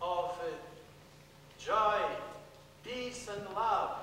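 In a raised, projected voice, a man speaks amid strong room echo and light background noise. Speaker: priest. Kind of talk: sermon. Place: church.

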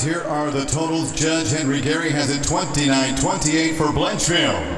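The recording carries light background noise and audible room echo. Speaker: ring announcer. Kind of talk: formal fight announcing. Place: hall.

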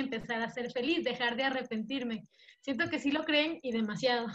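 The setting is quiet behind her. This woman talks at a fairly quick pace. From Ecuador. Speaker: former church member; podcast guest. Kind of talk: panel discussion. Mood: earnest, sometimes smiling. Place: home room. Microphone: webcam.

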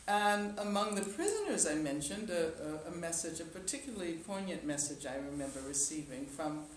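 A woman talks at a fairly quick pace in a fairly low pitch. Audible room echo and light background noise are present. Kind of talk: press conference answer. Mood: warm, occasionally laughing. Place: hall.

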